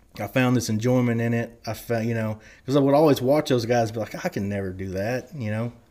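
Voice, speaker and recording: This man moves at a fairly quick pace with ordinary pitch variation, on a very clean recording with a silent background. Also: medium pitch for a man. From southern Oklahoma (Love County, Red River border). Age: young. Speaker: former rodeo athlete and touring musician. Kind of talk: casual chat.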